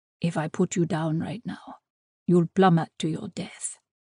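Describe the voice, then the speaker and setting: In a put-on character voice at a middle pitch, the speaker growls. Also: moderate pace. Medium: read story. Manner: slightly mocking.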